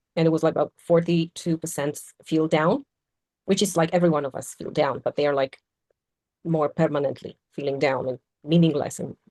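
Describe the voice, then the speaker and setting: A woman speaks at a fairly quick pace in a Polish accent, her pitch very deep and low, her tone dark and mellow, her intonation fairly even. Long, frequent pauses break up her speech, and the sound is dry and close with no echo. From Poland. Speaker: podcast panelist. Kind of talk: casual discussion.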